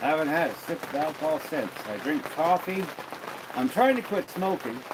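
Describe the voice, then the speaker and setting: With crowd noise in the background, a man with a Western Canadian accent speaks at a moderate pace in a high pitch, his relaxed tone marked by very wide pitch swings. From Alberta, Canada. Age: 60s. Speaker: livestreamer and tradesman. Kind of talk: casual livestream chat. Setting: home livestream by a wood fire. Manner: relaxed, repetitive.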